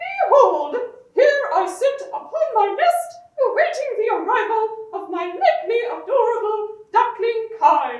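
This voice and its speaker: In a cartoonish character voice, a female-sounding speaker talks at a moderate pace with extremely high pitch and a slight echo. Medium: puppet. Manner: formal, grandiloquent.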